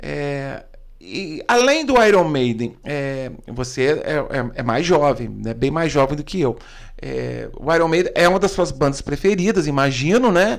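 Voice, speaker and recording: Fairly high in pitch, a man talks at a fairly slow pace with lively intonation. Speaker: podcast host. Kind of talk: casual interview. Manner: animated.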